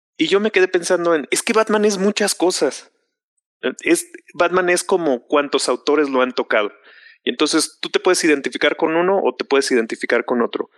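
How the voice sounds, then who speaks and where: In a Mexican accent, a man speaks fairly quickly at a high pitch with lively intonation, the sound dry and close with no echo against a quiet background. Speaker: film fan panelist. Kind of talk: casual chat. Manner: loud.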